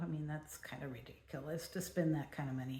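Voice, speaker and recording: A woman with an American accent at a moderate pace, ordinary pitch variation and audible room echo. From California. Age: 70s. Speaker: vlogger. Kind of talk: personal vlog monologue.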